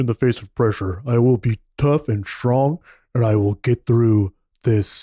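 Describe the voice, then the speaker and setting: A man puts on a gruff character voice at a medium pitch and a moderate pace. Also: ordinary pitch variation, dry, close sound with no echo, very clean recording, silent background. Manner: gruff, tough.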